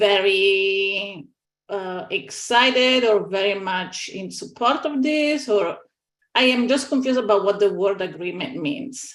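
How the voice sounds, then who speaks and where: Speaking at a medium pitch with ordinary pitch variation, a woman has a non-native accent. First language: not English. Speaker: scientific advisory panel member. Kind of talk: panel meeting discussion.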